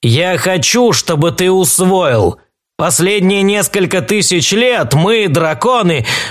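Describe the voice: Over a quiet background, the speaker does plain reading aloud with ordinary pitch variation.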